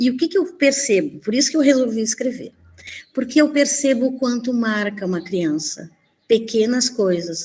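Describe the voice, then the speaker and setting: A woman's high-pitched voice with a dark, mellow tone, lively intonation and a moderate pace. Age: 60s. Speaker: primary school teacher. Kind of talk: conference presentation.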